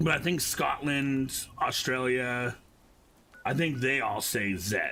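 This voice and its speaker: A man's medium-pitched voice at a very slow pace, with ordinary pitch variation, very even loudness and noticeable background noise. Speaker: gaming streamer. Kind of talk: casual chat while gaming.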